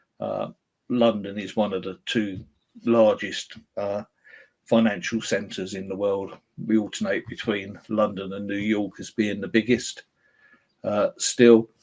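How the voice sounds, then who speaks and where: With a British accent, a man at a fairly low pitch speaks at a fairly slow pace in monotone, flat intonation, with long, frequent pauses. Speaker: software vendor presenter. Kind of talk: webinar presentation. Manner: hesitant, frequent filler words.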